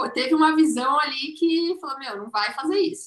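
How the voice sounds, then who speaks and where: With lively intonation, a high-pitched woman speaks in a bright, sharp tone. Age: 20s. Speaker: business manager. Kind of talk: casual chat.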